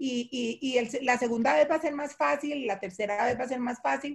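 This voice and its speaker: Lively intonation in a woman's high voice, moving at a moderate pace. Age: 60s. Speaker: nonprofit director. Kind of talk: webinar panel discussion.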